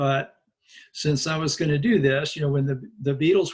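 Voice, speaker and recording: A man with a fairly high voice speaks at a fairly quick pace, somewhat breathy, with ordinary pitch variation. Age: 60s. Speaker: Buddhist monk and teacher. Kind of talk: interview. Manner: conversational, with fillers.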